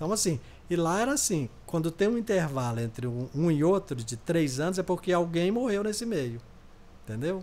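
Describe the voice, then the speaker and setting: Using very wide pitch swings, a man with a high pitch speaks at a moderate pace. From Brazil, rural Minas Gerais. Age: 70s. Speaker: interview guest. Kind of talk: podcast interview, life story. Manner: halting, repetitive.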